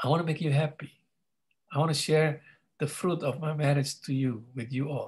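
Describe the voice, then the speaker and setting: Somewhat breathy speech with fairly even intonation against a quiet background. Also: man. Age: 50s. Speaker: pastor. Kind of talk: teaching talk. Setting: video call. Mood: warm, conversational. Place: home room. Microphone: video call.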